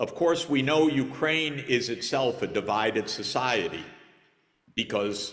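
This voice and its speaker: At a very slow pace, a man with an American accent speaks at medium pitch with lively intonation. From United States. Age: 60s. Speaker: conference panelist. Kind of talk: panel discussion.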